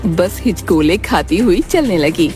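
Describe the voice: Clear music plays in the background as a woman with a fairly low voice talks at a fairly slow pace with lively intonation.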